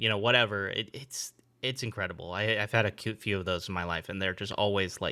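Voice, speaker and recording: A man with an American accent, a fairly low pitch and a bright, sharp tone on a very clean recording with a silent background. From California. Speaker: podcast host. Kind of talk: casual podcast conversation.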